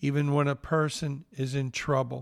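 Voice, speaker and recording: A man's fairly high voice with a Southern US accent, monotone and flat in intonation, at a moderate pace. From northeast Mississippi. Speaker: pastor and podcast host. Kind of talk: devotional podcast talk, personal reflection.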